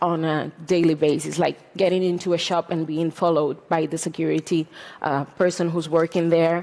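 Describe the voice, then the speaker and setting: With a Catalan accent, a woman speaks in a flat, monotone way at a fairly low pitch. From Catalonia, Spain. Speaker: journalist. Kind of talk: talk to an audience. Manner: halting, many fillers.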